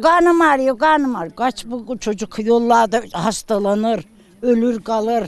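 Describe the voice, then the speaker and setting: Her pitch rises and falls across a very wide range. The woman keeps to a fairly slow pace. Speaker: Yörük village woman. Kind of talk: casual storytelling in interview.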